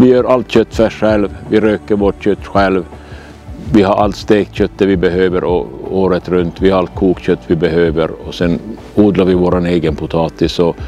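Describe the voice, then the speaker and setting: Music plays in the background as a man with a very deep, low pitch speaks at a moderate pace with ordinary pitch variation. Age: 60s. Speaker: retired hunter. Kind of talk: documentary interview.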